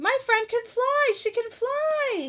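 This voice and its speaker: A woman's squeaky, extremely high-pitched put-on character voice. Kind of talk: read-aloud children's book. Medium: read story. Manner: plain, simple short sentences.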